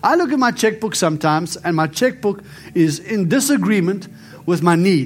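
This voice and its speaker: A man's high-pitched voice, lively in intonation, very even in loudness, at a moderate pace. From South Africa. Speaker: prophet, author and preacher. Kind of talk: sermon and testimony with prayer.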